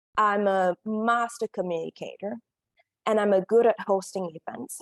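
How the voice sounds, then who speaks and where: A woman speaks with a Korean accent at a medium pitch and ordinary pitch variation, the sound dry and close with no echo. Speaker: career coach. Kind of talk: summit presentation.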